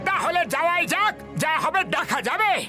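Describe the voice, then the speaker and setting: Someone speaks in a put-on character voice at a moderate pace, with clear music in the background. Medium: fan dub.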